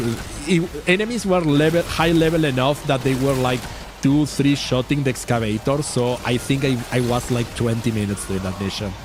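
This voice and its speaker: A man of medium pitch speaks at a moderate pace with ordinary pitch variation, with noticeable background noise behind him. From Uruguay. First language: Spanish. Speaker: vtuber streamer. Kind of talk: casual game stream chat. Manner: halting, repeats words.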